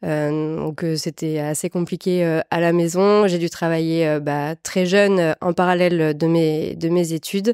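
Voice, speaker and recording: The voice has a dark, mellow tone and a southwestern French accent, with fairly even intonation at a fairly slow pace. The sound is dry and close with no echo, on a very clean recording with a silent background. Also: woman. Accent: south-western French (Landes). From France, Landes (south-west). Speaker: entrepreneur, personal branding agency founder. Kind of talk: interview. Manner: hesitant, many fillers.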